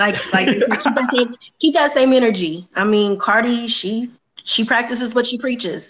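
A woman speaks in a high pitch at a moderate pace. Her pitch variation is ordinary. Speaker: returning guest co-host. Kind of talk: casual banter, comedic talk show.

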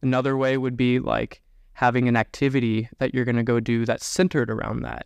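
With an ordinary speaking voice, a man talks at a fairly quick pace and medium pitch, his intonation fairly even and the sound dry and close with no echo. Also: quiet background. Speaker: army officer, homeschooled adult. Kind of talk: casual chat.

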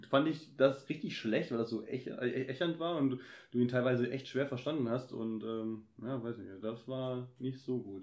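This man has an unremarkable speaking voice with a medium pitch. He talks at a fairly slow pace with fairly even intonation. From Germany, Kassel. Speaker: podcaster. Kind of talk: casual chat.

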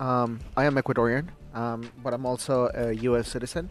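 A moderate pace with music in the background. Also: man. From Ecuador. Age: 20s. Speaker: podcast host. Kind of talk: solo podcast monologue, personal and casual. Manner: reflective, conversational, with frequent fillers.

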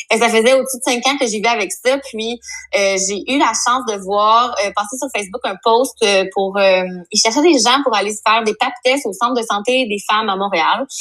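Noticeable background noise sits under the speech. The pace is moderate, with ordinary pitch variation. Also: woman, fairly high pitch for a woman. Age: 30s. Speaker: psychosocial worker. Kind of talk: casual chat.

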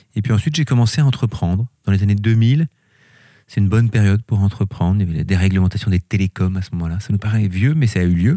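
With a dark, mellow tone and a fairly low pitch, a man speaks at a very fast pace with ordinary pitch variation in a dry, close recording with no echo. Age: 50s. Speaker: company director. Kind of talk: interview. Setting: company workshop.

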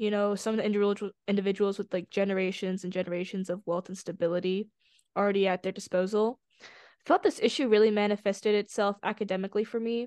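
The background is quiet. A woman talks at a very fast pace. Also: medium pitch for a woman. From born in China, raised in US. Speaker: student nonprofit art director. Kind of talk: interview podcast.

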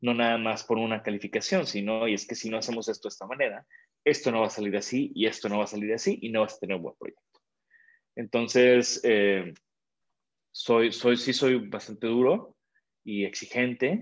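Against a quiet background, a man with an unremarkable speaking voice talks at a moderate pace with ordinary pitch variation. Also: medium pitch for a man. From Mexico. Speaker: industrial designer. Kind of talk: interview. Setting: video call.

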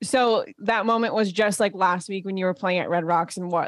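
A woman with an ordinary speaking voice talks at a moderate pace with fairly even intonation. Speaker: podcast co-host, photographer. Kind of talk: casual chat.

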